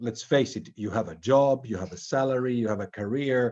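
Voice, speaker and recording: Against a quiet background, a man speaks at a medium pitch and a moderate pace. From Finland. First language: Swedish. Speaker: interviewer. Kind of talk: interview. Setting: online video event. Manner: halting, repetitive.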